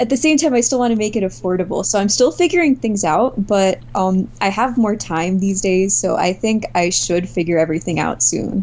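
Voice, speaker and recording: A woman speaks at a medium pitch with very wide pitch swings and very even loudness. She leaves hardly any pauses, and noticeable background noise runs underneath. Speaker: artist, visual novel co-creator. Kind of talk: casual interview.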